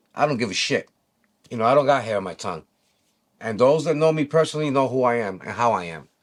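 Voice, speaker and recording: Fairly quick, animated speech from a man with a New York accent, fairly high pitch and lively intonation, on a very clean recording with a silent background. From New York City. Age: 60s. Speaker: e-bike community vlogger. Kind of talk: opinion monologue.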